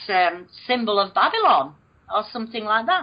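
With a northern English accent, a woman speaks at a moderate pace, her fairly high pitch making very wide swings. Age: 50s. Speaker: alleged alien abductee. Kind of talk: interview.

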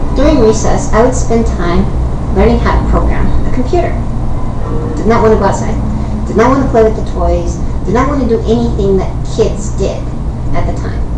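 A woman at a fairly quick pace, with long, frequent pauses and noticeable background noise. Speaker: YouTube vlogger. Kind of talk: casual vlog storytelling. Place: home room. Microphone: webcam.

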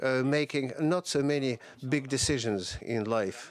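Speaking fairly slowly with ordinary pitch variation, a man sounds dry with no echo over light background noise. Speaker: panel moderator. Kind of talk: opening remarks at a panel discussion. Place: hall. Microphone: podium.

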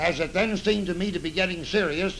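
Against light background noise, a man with an American accent speaks at a high pitch. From United States. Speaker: retired general testifying before a congressional committee. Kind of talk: 1930s newsreel statement. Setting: old newsreel recording. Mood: earnest, serious. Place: office.

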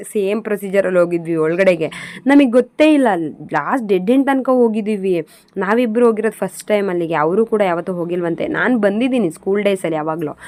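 Noticeable background noise is present. Over it, a woman talks at medium pitch. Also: lively intonation. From Karnataka, Hassan. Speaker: vlogger. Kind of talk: travel vlog narration.

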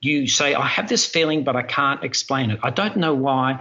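Fairly high pitch from a man with an Australian accent. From Australia, Melbourne. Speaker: airline pilot. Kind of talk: interview. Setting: video call.

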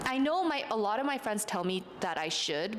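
A woman speaks in a normal speaking voice at a moderate pace, her intonation lively. Light background noise is audible. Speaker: social media influencer. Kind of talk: casual chat. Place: home room. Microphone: handheld.

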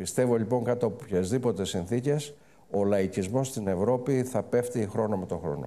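With a dark, mellow tone, a man's pitch shifts in an ordinary way. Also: moderate pace. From Greece. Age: 70s. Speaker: banker and business group chairman; guest. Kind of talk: fireside chat interview. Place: stage. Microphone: lapel.

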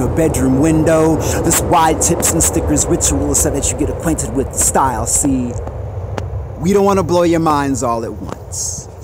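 Over music in the background, a man speaks at a moderate pace with a fairly high pitch, the sound dry with no echo. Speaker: poet. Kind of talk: spoken-word poem performance about graffiti. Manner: rhythmic, punchy, defiant delivery. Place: street. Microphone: phone near.

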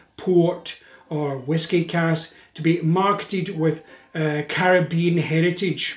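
A man with a Scottish accent at a very slow pace, with audible room echo. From Scotland. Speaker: drinks industry educator and video host. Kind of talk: scripted educational narration. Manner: measured with frequent filler uhs. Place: home room.

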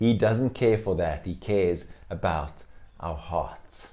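Against a quiet background, a man with a very deep, low pitch and a dark, mellow tone talks at a very slow pace with lively intonation. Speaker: pastor. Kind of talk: sermon. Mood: warm, smiling. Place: home room. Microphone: lapel.

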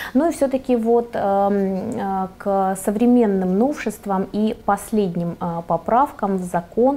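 A woman speaks at a medium pitch with ordinary pitch variation. Her tone is dark and mellow. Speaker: TV presenter. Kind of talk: TV talk show. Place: studio. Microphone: lapel.

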